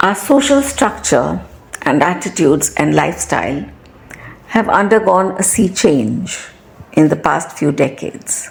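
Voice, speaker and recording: Noticeable background noise is present throughout. A woman talks fairly slowly over it. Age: 60s. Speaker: retired teacher. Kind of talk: personal talk.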